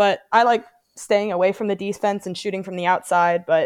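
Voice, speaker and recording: Speaking with an American accent, a woman moves at a fairly quick pace with fairly even intonation on a very clean recording with a silent background. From US Pacific Northwest (Portland, Oregon). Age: 20s. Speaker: Paralympic wheelchair basketball player. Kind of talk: casual interview.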